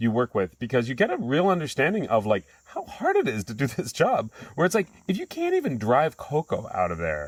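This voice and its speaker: Loud and fairly quick, a man speaks with vocal fry at a fairly high pitch, the sound dry and close with no echo. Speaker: chocolate company co-host. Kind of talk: casual chat.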